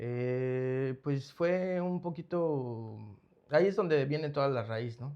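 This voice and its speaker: This man has a fairly high pitch and a dark, mellow tone, speaking at a very slow pace with ordinary pitch variation. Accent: Mexico City. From Mexico City. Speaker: rehab center founder. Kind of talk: interview testimony. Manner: halting.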